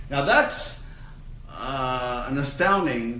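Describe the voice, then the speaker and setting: There is noticeable background noise and audible room echo. A man speaks with a fairly high pitch. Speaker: minister teaching a spiritual course. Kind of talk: lecture. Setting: room with live audience. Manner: loud.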